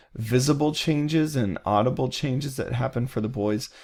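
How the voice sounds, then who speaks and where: Speaking at a moderate pace, this is a normal speaking voice. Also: man, very clean recording, silent background. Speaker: college psychology instructor. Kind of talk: recorded lecture. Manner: casual, with many fillers.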